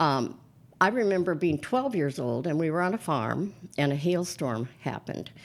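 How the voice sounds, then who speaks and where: The speaker has an American accent and a moderate pace. The pitch swings very widely. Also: woman, very deep, low pitch for a woman. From US Upper Midwest (Minnesota). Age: 70s. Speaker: priest. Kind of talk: interview conversation.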